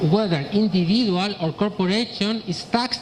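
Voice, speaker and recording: In a Chilean accent, the speaker moves at a moderate pace with ordinary pitch variation over noticeable background noise. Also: woman. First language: Spanish. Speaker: accountant and tax advisor. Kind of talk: presentation. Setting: presentation to an audience. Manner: halting.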